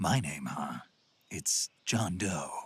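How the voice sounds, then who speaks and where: This is a man doing a put-on character voice. His pitch is very deep and low. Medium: video game. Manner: terse, dry.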